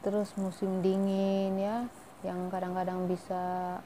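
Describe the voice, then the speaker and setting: A woman speaks at a very slow pace. Her pitch sits in the medium range. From Indonesia, Medan (Malay ethnicity). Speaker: vlogger. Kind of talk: casual vlog talk to viewers.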